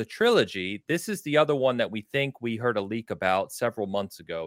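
The recording of this man is very clean, with a completely silent background. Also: dry, close sound with no echo. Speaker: podcast host. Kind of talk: casual chat.

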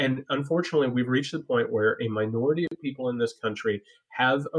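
Someone with an American accent talks at a fairly quick pace in a normal speaking voice. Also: man. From US Midwest, small-town Indiana. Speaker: writer and political analyst. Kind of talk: political discussion.

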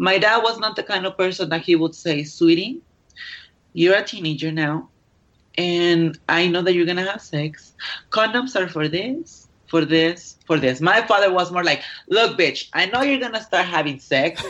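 A woman speaks with a Mexican accent at a moderate pace. Her fairly low pitch shows ordinary pitch variation. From Mexico. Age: 20s. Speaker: adult film performer. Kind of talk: interview.

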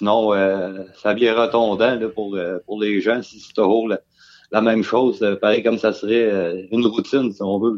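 A man speaks at a fairly slow pace with a fairly low pitch. His intonation is monotone and flat, while his loudness swings widely. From Quebec, Beauce. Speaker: truck driver. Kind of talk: casual chat. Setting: remote call from home.

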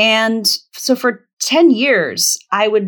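Very clean recording, silent background: a woman with an unremarkable speaking voice and a General American accent. Her pitch is fairly high and her intonation lively. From Virginia, US. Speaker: author and facilitator. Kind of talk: interview conversation.

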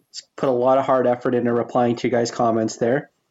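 A man's ordinary speaking voice at a medium pitch. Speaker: podcast host. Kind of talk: casual chat.

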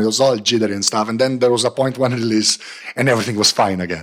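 Fairly even intonation carries this voice with a Slovenian accent. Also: man. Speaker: tech panelist. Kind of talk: casual chat.

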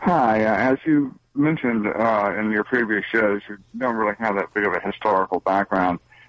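In a plain, everyday voice with an American accent, a man of fairly low pitch talks at a moderate pace in a dry, close sound with no echo. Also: ordinary pitch variation. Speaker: radio caller. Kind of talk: call-in opinion. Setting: phone call.

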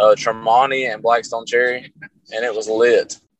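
A medium-pitched man with a Southern accent, monotone and flat, in a dry, close recording with no echo. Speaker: rock guitarist. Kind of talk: casual chat.

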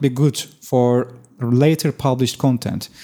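In a very clean recording with a silent background, a man with a Turkish accent speaks in a dark, mellow tone. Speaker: SEO expert. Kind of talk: casual interview.

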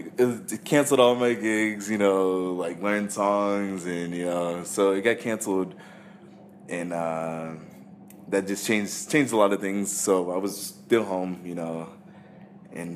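This is an ordinary speaking voice with an American accent. It moves at a fairly slow pace with ordinary pitch variation. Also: man. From California. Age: 20s. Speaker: pianist. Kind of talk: casual interview.

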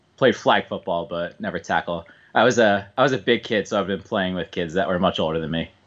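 With a Philadelphia accent, a man speaks fairly quickly at a very deep, low pitch with ordinary pitch variation. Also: quiet background. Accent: Philadelphia-area American. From US Northeast, suburban Philadelphia. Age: 20s. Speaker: bowler. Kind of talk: casual chat.

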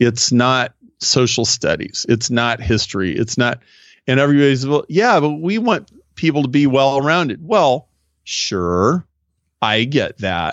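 This man has a normal speaking voice with a medium pitch. He talks at a fairly slow pace with lively intonation. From US Midwest, Nebraska. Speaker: business consultant and author. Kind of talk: interview.

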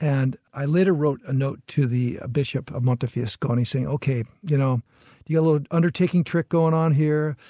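At a moderate pace, this somewhat breathy voice with a dark, mellow tone uses ordinary pitch variation, the sound dry and close with no echo against a quiet background. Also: man, fairly high pitch for a man. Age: 60s. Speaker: journalist and author. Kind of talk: interview.

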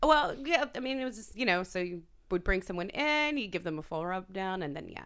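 At a very fast pace, a woman with a medium pitch speaks with very wide pitch swings and big swings in loudness. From US (born in France, moved at five; Persian family). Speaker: adult performer. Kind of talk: casual chat.

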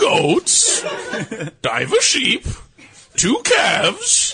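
A man performs a put-on character voice, delivered at a very slow pace. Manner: formal, reading aloud.

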